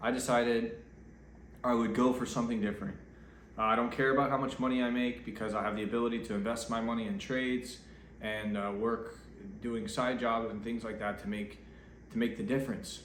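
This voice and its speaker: A medium-pitched man at a fairly quick pace, with long, frequent pauses, fairly even intonation, audible room echo and noticeable background noise. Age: 30s. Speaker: vlogger. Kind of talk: casual vlog monologue. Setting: at home getting ready for bed. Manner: off the cuff, hesitant with fillers.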